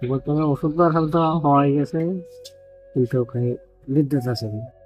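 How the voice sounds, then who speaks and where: A man's fairly high voice sounds over music in the background. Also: ordinary pitch variation. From Bangladesh; Mymensingh, Bangladesh. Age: 80s+. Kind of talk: interview answer.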